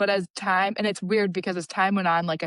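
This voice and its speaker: A woman speaks in a normal speaking voice with an American accent. Her pitch is medium, her intonation fairly even, and the background is quiet. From US Midwest, Chicago suburbs. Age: 30s. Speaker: emergency room doctor. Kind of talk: casual interview.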